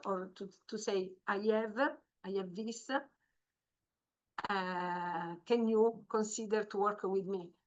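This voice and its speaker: In an Italian accent, a woman talks at a medium pitch with fairly even intonation. The background is quiet. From Italy. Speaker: marine biologist. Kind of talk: training webinar. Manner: halting, many fillers.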